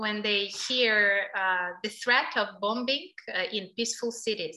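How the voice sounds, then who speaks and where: A woman speaks very slowly with a Ukrainian accent and fairly high pitch. Her tone is bright and sharp, with ordinary pitch variation. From Ukraine. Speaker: NGO director. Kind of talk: interview.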